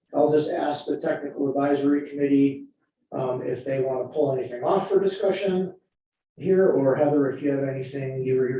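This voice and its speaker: Fairly high for a man, his voice has a dark, mellow tone and a somewhat breathy quality, moving at a fairly quick pace with ordinary pitch variation. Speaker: committee chair. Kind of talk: chairing a meeting.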